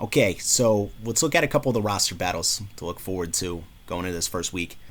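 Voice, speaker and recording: In a New York accent, a man talks at a fairly quick pace with an animated tone. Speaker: sports commentary vlogger. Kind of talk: casual sports preview monologue.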